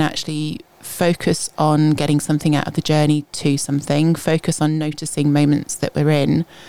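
A woman speaks at a moderate pace. Her pitch is very deep and low, and her tone is dark and mellow. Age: 40s. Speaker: GP doctor. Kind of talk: casual chat. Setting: radio studio.

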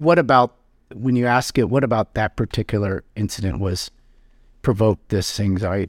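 A man speaks at a moderate pace with an American accent, his pitch fairly low and its variation ordinary, in a plain, everyday voice. The recording is very clean and dry, close with no echo, over a silent background. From US Pacific Northwest, South Seattle. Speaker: psychotherapist. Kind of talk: live therapy session; casual chat.

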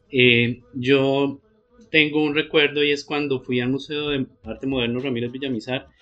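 A man speaks at medium pitch with monotone, flat intonation. Noticeable background noise is present. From Colombia, Pamplona (Norte de Santander). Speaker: artist and art teacher. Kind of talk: casual interview. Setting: at his home.

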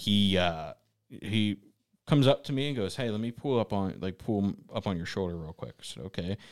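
With an American accent and an unremarkable speaking voice, a man talks fairly quickly at a fairly low pitch with lively intonation, in a dry, close sound with no echo on a very clean recording with a silent background. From suburban Pittsburgh, Pennsylvania. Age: 20s. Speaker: podcast co-host, sled hockey player. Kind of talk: casual chat. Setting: studio.

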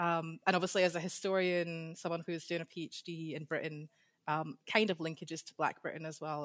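A woman talks at a fairly low pitch in a Scottish accent, with monotone, flat intonation. The sound is dry and close, with no echo. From Scotland. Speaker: PhD candidate, historian. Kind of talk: interview, casual chat.

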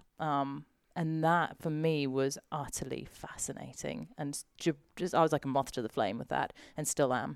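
Recorded very cleanly against a silent background, a woman speaks at a very deep, low pitch. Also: ordinary pitch variation, moderate pace. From South Africa. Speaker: adventurer and broadcaster. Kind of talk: casual interview chat.

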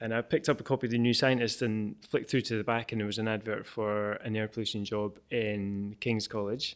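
A man talks at a fairly quick pace with hardly any pauses, in a medium pitch and a monotone, flat intonation. The recording is very clean with a silent background. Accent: Edinburgh. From Scotland, Edinburgh. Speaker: air quality researcher and app developer. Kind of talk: interview. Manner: hesitant, many fillers and repetitions.

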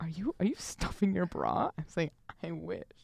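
A woman talks at a fairly quick pace. Her voice carries vocal fry. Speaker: college student podcast co-host. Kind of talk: casual chat. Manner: quieter voice; does not enunciate clearly.

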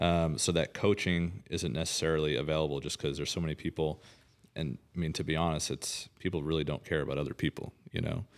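The recording is very clean, with a silent background. A man speaks very fast in a very deep, low pitch with vocal fry and ordinary pitch variation. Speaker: real estate agent and co-host. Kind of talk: casual podcast chat.

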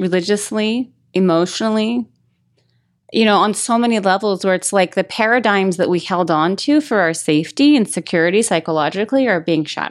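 A woman with an ordinary speaking voice, medium pitch, ordinary pitch variation and very even loudness, at a moderate pace in a very clean recording with a silent background. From Las Vegas, Nevada. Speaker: author and life coach. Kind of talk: casual interview.

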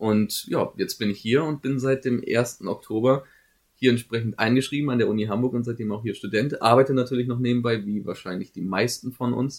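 At a fairly quick pace, a man speaks in a normal speaking voice at medium pitch with fairly even intonation. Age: 20s. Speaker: student podcast co-host. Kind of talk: casual chat. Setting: studio.

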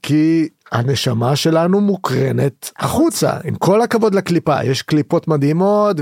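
In a normal speaking voice, a man with a fairly high pitch talks at a fairly slow pace with lively intonation, recorded very cleanly against a silent background with a dry, close sound and no echo. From Israel, Haifa. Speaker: activist and trance party-goer. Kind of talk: podcast interview.

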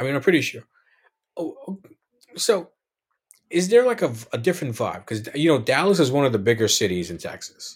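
Speaking at a fairly quick pace with long, frequent pauses, a man with a fairly high, somewhat breathy voice shows very wide pitch swings and big swings in loudness. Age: 30s. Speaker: podcast host. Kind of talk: casual interview chat. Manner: animated, laughs often.

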